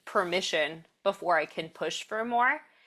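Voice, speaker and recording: The woman's tone is bright and sharp, at a medium pitch and a moderate pace. The recording is very clean, with a silent background. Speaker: podcast host, strength coach. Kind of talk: podcast interview talk.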